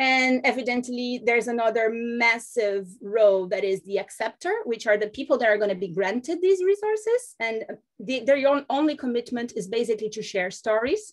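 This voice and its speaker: This woman has a Portuguese accent and a fairly high pitch. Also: ordinary pitch variation, moderate pace, hardly any pauses. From Brazil. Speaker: foundation representative. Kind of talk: webinar presentation. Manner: halting, many fillers.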